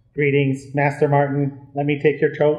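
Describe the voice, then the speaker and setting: The speaker uses a put-on character voice with monotone, flat intonation at a moderate pace. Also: man, fairly high pitch for a man. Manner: polite, flat.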